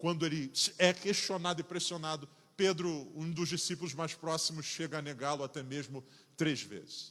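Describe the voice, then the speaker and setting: In a Rio de Janeiro accent, a man with a fairly high pitch talks at a moderate pace with fairly even intonation. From Rio de Janeiro, Brazil. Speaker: pastor. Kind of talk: sermon.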